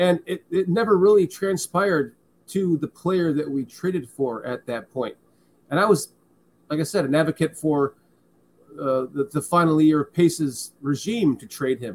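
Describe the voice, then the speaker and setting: Using a normal speaking voice, a man speaks at a moderate pace, fairly high in pitch and with ordinary pitch variation. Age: 40s. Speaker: sports podcast host. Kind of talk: casual chat. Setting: video call.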